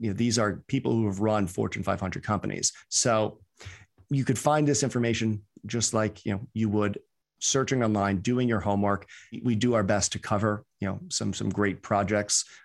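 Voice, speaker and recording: A man with an American accent speaks at a moderate pace against a quiet background. He has an unremarkable speaking voice, fairly low in pitch, with fairly even intonation. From US, New York (the Bronx). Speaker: crypto fund manager and investment educator. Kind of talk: interview.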